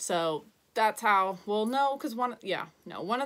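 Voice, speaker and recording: At a moderate pace, a woman talks with lively intonation. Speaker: sports video blogger. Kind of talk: casual sports recap. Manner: halting, stumbling over words.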